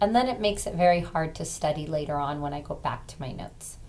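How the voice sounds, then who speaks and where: Audible room echo surrounds a woman's voice. She speaks at a fairly quick pace with ordinary pitch variation. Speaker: college instructor. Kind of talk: lecture. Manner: casual, with many fillers.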